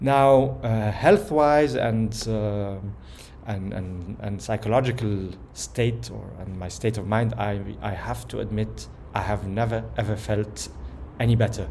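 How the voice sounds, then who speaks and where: Fairly low in pitch, a man speaks with a dark, mellow tone and vocal fry, with audible room echo. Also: lively intonation, fairly slow pace. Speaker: personal vlogger. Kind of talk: personal video message. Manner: calm, somewhat slow; hesitant, many fillers.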